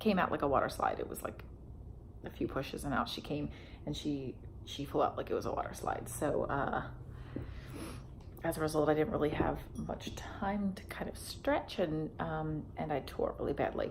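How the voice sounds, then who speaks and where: The speaker is a woman. Her moderate pace is heard with audible room echo. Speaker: vlogger. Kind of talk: personal vlog. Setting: at home beside sleeping baby. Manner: halting, many fillers. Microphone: may be too quiet.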